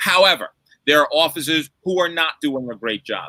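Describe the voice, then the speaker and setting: Bright and sharp in tone, a man speaks at a moderate pace in a dry, close sound with no echo. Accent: New York. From New York City, the Bronx. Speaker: lawyer. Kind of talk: panel discussion. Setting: livestream. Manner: emphatic, rhetorical.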